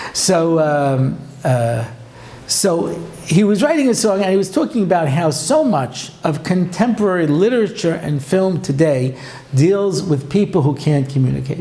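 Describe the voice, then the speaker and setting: Against noticeable background noise and audible room echo, a man speaks at a moderate pace in a high pitch with lively intonation and very even loudness. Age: 60s. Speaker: rabbi and lecturer. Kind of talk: lecture. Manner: animated.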